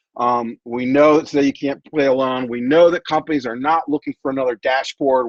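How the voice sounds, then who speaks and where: Fairly quickly and with fairly even intonation, a man of medium pitch talks in an ordinary speaking voice, the sound dry and close with no echo. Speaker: tech company CEO presenting. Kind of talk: presentation.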